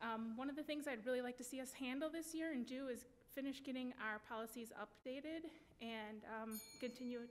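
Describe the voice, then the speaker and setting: Talking at a fairly quick pace, a woman speaks in a high pitch with a Wisconsin accent. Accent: Upper Midwest (Wisconsin). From Wisconsin (West Allis, Milwaukee area). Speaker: school board candidate. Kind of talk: candidate forum statement.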